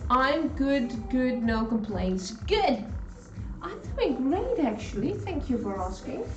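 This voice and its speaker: A woman speaks in a high pitch with lively intonation at a very slow pace. Noticeable background noise and audible room echo surround her voice. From Netherlands. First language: Dutch. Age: 50s. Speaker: cooking live streamer. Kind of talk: casual live stream chat while cooking. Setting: home kitchen. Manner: animated.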